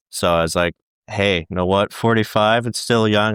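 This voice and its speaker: The man talks fairly quickly, his intonation fairly even. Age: 20s. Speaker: navy cook. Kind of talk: interview.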